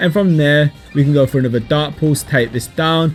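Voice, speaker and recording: Music plays in the background as a man speaks. His voice is fairly high and his pace fairly quick. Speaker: gaming YouTuber. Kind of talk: gameplay commentary. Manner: fast.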